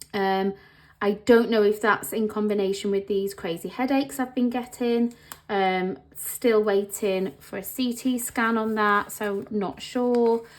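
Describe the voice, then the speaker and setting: In an English accent, a woman talks fairly slowly at a fairly high pitch with ordinary pitch variation. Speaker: planner vlogger. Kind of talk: casual vlog talk. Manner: halting, many pauses.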